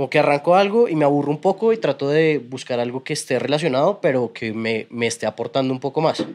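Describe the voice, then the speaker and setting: A man's fairly high voice at a very fast pace, lively in intonation and with hardly any pauses. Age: 30s. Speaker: tattoo artist and motocross rider. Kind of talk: casual chat.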